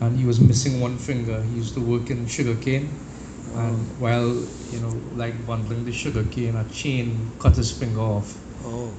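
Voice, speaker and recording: A man at a medium pitch is heard with audible room echo and noticeable background noise. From Trinidad. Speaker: devotee. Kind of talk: personal testimony.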